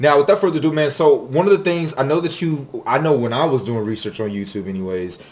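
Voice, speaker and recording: Over noticeable background noise, a man speaks very fast in an animated tone with lively intonation. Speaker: vlogger. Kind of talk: casual monologue. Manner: casual, slangy.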